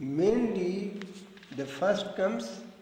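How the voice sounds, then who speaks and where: A man talks at a very slow pace, his pitch swinging very widely. Noticeable background noise and audible room echo are present. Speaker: spiritual philosophy teacher. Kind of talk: lecture with group discussion. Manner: slow, deliberate.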